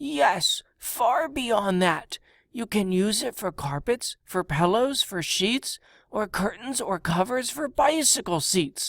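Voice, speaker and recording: A female-sounding put-on character voice moves at a fairly slow pace. The recording is very clean, with a silent background. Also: fairly high pitch for a woman. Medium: read story. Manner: brash, salesy.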